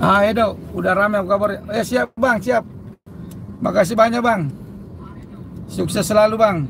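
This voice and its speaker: Shouting loudly at a high pitch, a man speaks with long, frequent pauses over noticeable background noise. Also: ordinary pitch variation, moderate pace. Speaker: live-streaming vlogger. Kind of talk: live stream chat while travelling. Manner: loud, shouty.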